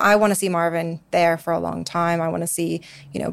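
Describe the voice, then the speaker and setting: A woman talks at a fairly quick pace on a very clean recording with a silent background. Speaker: investment analyst. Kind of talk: interview discussing a company.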